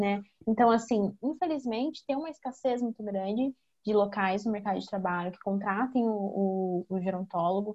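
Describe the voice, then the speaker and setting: Her voice is an unremarkable speaking voice at a medium pitch. The woman keeps a moderate pace with ordinary pitch variation. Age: 20s. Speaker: gerontologist. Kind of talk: casual chat.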